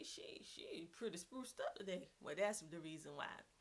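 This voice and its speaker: With a strong Southern US accent, a woman speaks at a moderate pace in an animated tone, her pitch swinging very widely. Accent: heavy Southern US. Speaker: homeschooling mom vlogger. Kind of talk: casual vlog talk. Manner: animated, chatty.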